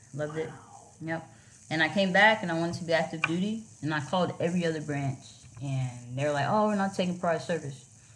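A woman with an American accent talks very fast at a fairly low pitch, her pitch varying in an ordinary way, with audible echo from the room. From Miami, Florida. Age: 30s. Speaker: Coast Guard officer. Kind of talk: casual interview. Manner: animated.

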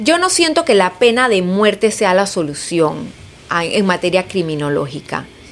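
A woman's medium-pitched voice at a fairly slow pace, lively in intonation, over noticeable background noise. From Panama, Chiriquí province. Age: 40s. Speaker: politician. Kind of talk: interview.

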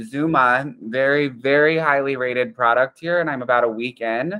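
A normal speaking voice from a man with an American accent, medium pitch, ordinary pitch variation and a moderate pace. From northern Pennsylvania, US. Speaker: podcast co-host. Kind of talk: casual chat.

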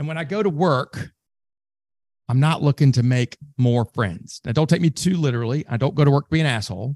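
A man with a Southern US accent talks at a fairly quick pace in a fairly high pitch, with lively intonation. The sound is dry and close, with no echo. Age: 50s. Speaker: sales trainer. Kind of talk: interview conversation.

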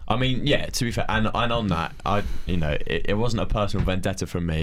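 This man's voice is very deep and low, and his pitch varies in an ordinary way. He talks very fast, and there is audible room echo. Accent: southern English. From Farnham, Surrey, southern England. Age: 19. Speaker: podcast host, university student. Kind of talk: casual chat.

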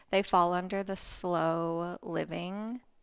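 A woman with an American accent and fairly low pitch, in a very clean recording with a silent background. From US Midwest, rural Ohio. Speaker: small business founder. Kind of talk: casual chat.

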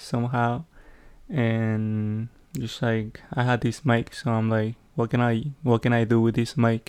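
A man of medium pitch talks at a fairly slow pace, keeping his intonation fairly even. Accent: Spanish. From Peru. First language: Spanish. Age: 20s. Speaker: podcaster. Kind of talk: casual solo monologue. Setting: home recording with background noise. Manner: halting, many fillers.

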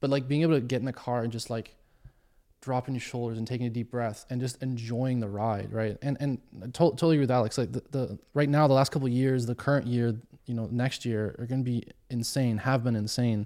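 A man talks very fast with a dark, mellow tone at a medium pitch. The recording is very clean, with a silent background. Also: fairly even intonation. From Germany. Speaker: amateur track driver. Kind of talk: casual chat.

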